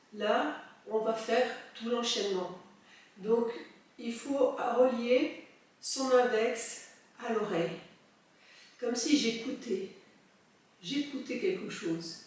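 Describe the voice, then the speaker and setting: Very slow speech in a calm tone, with ordinary pitch variation and long, frequent pauses. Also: woman. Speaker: soprano singer and breathing teacher. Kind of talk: guided breathing exercise. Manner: calm, slow.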